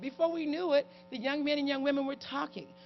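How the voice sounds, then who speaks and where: Music plays in the background as a woman talks at a fairly quick pace. Her pitch is high and her intonation lively. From US Midwest, inner-city Cleveland, Ohio. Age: 60s. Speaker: keynote speaker, community and parenting advocate. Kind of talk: keynote speech. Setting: conference stage with audience.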